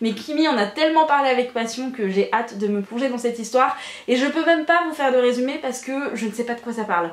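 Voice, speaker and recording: Noticeable background noise surrounds a woman's voice. She speaks at a very fast pace in a high pitch. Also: ordinary pitch variation. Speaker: booktuber. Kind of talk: casual book haul video.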